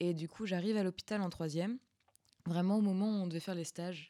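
A woman's fairly low, dark, mellow voice with ordinary pitch variation at a very fast pace. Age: 20s. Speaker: student podcast host. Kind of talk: casual chat.

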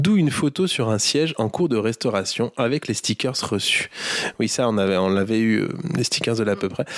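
At a moderate pace, a man speaks with a medium pitch, lively intonation and very even loudness. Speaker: podcast co-host. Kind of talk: casual chat.

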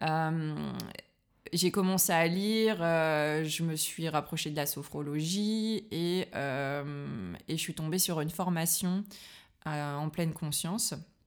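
In a very clean recording with a silent background, a woman with a fairly low voice speaks at a very slow pace. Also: ordinary pitch variation. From northern France, Liévin near Lens. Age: 30s. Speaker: sophrologist. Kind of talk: casual interview. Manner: hesitant, many fillers.

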